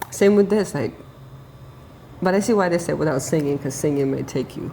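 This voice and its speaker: A woman talks at a fairly quick pace in a very deep, low voice, with lively intonation and an animated tone. Noticeable background noise sits behind her. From Ukraine. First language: Russian. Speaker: YouTube co-host. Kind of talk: casual reaction chat.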